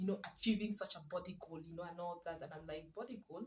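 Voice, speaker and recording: Somewhat breathy, a woman speaks with ordinary pitch variation. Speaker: parenting vlogger. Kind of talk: casual vlog talk. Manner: soft-spoken.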